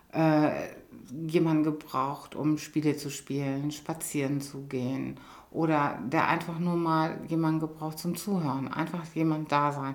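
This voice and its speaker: Audible room echo surrounds a fairly slow, monotone, flat delivery. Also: woman. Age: 50s. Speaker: hospice coordinator and nurse. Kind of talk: interview.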